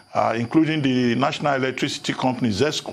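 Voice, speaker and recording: Vocal fry marks this man's delivery, which has a moderate pace and ordinary pitch variation. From Nigeria. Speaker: TV news host. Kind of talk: TV interview. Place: studio.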